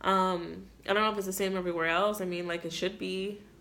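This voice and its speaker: Fairly low in pitch, a woman talks at a fairly quick pace with a bright, sharp tone and fairly even intonation. Room echo is audible. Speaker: beauty vlogger. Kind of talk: casual chat. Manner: monotone; mellow.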